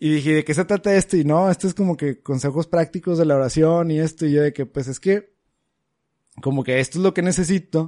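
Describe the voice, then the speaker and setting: Fairly high-pitched man with a dark, mellow tone at a fairly quick pace, with ordinary pitch variation and a dry, close sound with no echo. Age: 20s. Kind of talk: casual chat.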